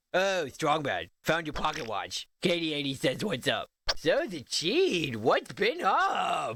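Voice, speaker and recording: Using a put-on character voice, a man speaks at a high pitch with hardly any pauses. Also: fairly slow pace. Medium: video game. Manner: dopey, oblivious.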